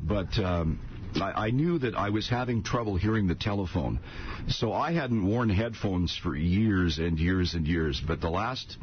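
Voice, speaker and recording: In a Canadian accent, a man speaks at a moderate pace with a fairly low pitch and lively intonation, keeping his loudness very even. Noticeable background noise and audible room echo are present. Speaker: retired radio morning host. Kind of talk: radio interview.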